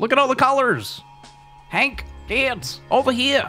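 Faint music plays in the background as a put-on character voice speaks at a fairly high pitch and a fairly slow pace.

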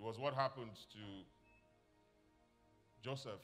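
A man's voice is heard over faint background music. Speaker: pastor. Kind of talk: sermon. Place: church.

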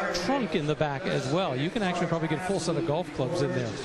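Loud background noise surrounds a man speaking at a fairly quick pace. His pitch is high with ordinary variation, and the sound is dry with no echo. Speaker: car auction commentator. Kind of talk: live commentary. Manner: knowledgeable, conversational with fillers. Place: hall.

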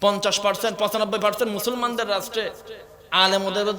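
The voice stays monotone and flat, with audible room echo and noticeable background noise. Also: man. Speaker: Islamic preacher. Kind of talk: sermon. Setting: stage with audience. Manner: loud, impassioned.

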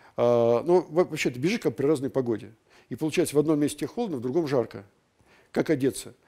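Over a quiet background, a man with a dark, mellow tone speaks with lively intonation. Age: 60s. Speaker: ultramarathon runner and lecturer; lecturer. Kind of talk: lecture. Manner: halting. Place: hall. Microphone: headset.

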